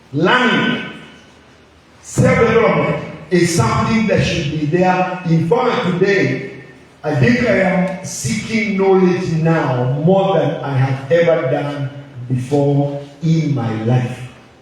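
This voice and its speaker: Speaking very slowly with lively intonation, a man with a fairly high pitch is heard through audible room echo and noticeable background noise. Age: 60s. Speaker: pastor. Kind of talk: sermon.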